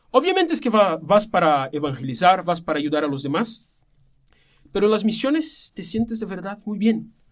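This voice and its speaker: A high-pitched man's voice with a Portuguese accent and very wide pitch swings. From Brazil. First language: Portuguese (speaking Spanish). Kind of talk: casual chat.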